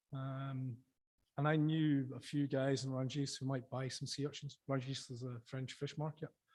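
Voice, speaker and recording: Speaking in a southern Scottish accent, a man keeps a moderate pace and medium pitch, his voice somewhat breathy and his intonation monotone and flat. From Scotland, Dumfries and Galloway. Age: 50s. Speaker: sea urchin fisherman and former chef. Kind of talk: conference talk. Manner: casual, with filler words.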